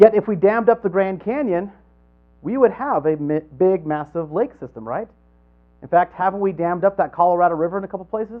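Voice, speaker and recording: A man speaks with a high pitch and lively intonation. His pace is fairly quick. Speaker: creationist speaker on geology. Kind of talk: lecture. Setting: church hall with live audience. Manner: fast.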